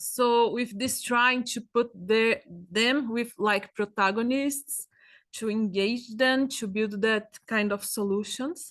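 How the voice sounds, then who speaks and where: In a Brazilian Portuguese accent, a woman speaks very slowly with fairly even intonation and a fairly high pitch. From Brazil, São Paulo. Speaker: agroecologist researcher. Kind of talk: presentation. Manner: halting.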